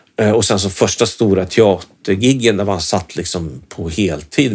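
A man's fairly low voice moves at a moderate speed, with ordinary variation in pitch. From Sweden, Norrköping. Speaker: guitarist and guitar teacher. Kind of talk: casual chat. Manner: halting.

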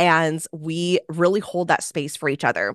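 A woman speaks at a moderate pace with a fairly low pitch and a plain, everyday voice. The sound is dry and close with no echo, and the background is quiet. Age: 20s. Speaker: business coach. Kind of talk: interview.

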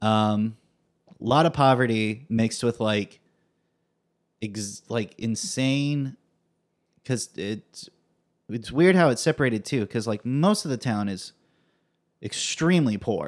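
Speaking very slowly with long, frequent pauses, a man with an American accent keeps a medium pitch and ordinary pitch variation on a very clean recording with a silent background. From California, Fresno. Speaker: comedy performer and writer. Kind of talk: casual chat.

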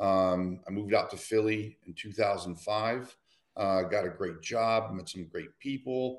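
Against a quiet background, a man with an American accent and a fairly low pitch uses an unremarkable speaking voice with ordinary pitch variation, a fairly slow pace and big swings in loudness. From Michigan, Detroit. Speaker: nonprofit program coordinator. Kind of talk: casual chat.

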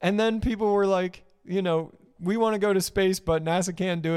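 On a very clean recording with a silent background, a man with a high pitch talks at a fairly quick pace with fairly even intonation. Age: 30s. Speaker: podcast co-host. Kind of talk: casual chat. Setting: live-streamed studio podcast.

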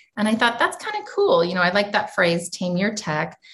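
A woman speaks in an American accent at a medium pitch. Her voice is somewhat breathy. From US. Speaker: educator and entrepreneur. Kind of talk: interview.

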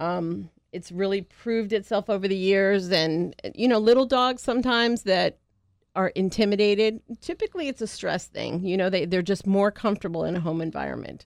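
A woman with an ordinary speaking voice, ordinary pitch variation and a moderate pace. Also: medium pitch for a woman. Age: 50s. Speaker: pet sitting business owner. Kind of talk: radio interview.

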